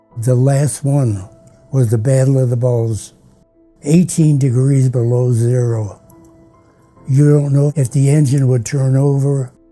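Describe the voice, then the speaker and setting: A man speaks at a fairly slow pace with long, frequent pauses and fairly even intonation. Music plays in the background. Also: medium pitch for a man, very even loudness. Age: 80s+. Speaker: WWII pilot and war veteran. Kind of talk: interview answer.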